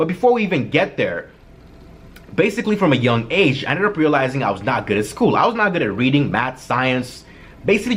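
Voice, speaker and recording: A man talks at a very fast pace. His fairly high pitch moves in very wide swings. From Kenya. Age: 20s. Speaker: vlogger. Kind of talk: personal vlog storytelling. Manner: casual, filler-heavy.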